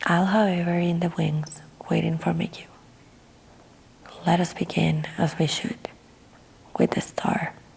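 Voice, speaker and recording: Over noticeable background noise, a soft-spoken woman talks in a calm tone at a fairly slow pace, with fairly even intonation and long, frequent pauses. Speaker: ASMR artist. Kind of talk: audiobook reading. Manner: soft-spoken, calm.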